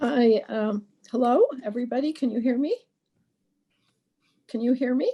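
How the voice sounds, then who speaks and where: With long, frequent pauses, a woman speaks at a moderate pace in a high pitch and fairly even intonation. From Poland. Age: 70s. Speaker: Holocaust survivor. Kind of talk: testimony.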